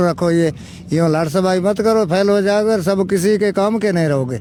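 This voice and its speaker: A man's voice with fairly even intonation. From Rajasthan, India (Ramsar area). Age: 70s. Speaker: retired village elder, former branch postmaster. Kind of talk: interview, casual storytelling. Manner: halting, with false starts.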